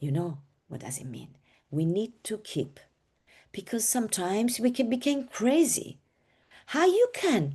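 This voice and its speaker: A woman with a fairly high pitch and dark, mellow tone speaks somewhat breathily at a fairly slow pace, with very wide pitch swings, big swings in loudness and long, frequent pauses. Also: quiet background. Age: 60s. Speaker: design educator. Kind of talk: webinar lecture.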